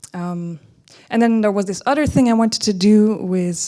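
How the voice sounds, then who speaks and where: A dark, mellow voice with ordinary pitch variation in a very clean recording with a silent background. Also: woman. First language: German (one of several). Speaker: writer. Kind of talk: artist presentation. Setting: presentation to an audience. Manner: hesitant, many fillers and restarts.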